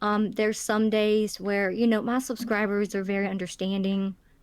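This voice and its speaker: A woman with an Alabama accent speaks at a fairly high pitch and a moderate pace, with hardly any pauses. The recording is very clean, with a silent background. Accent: Alabama Southern. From Alabama, US South. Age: 30s. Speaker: YouTube narrator. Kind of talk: casual interview chat. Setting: call. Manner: halting, many fillers.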